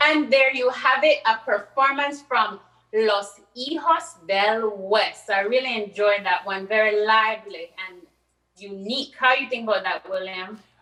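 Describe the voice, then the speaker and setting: In a strong Belizean accent, a woman with a fairly high pitch speaks fairly slowly, with ordinary pitch variation. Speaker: event co-host. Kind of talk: live virtual event hosting. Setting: virtual broadcast.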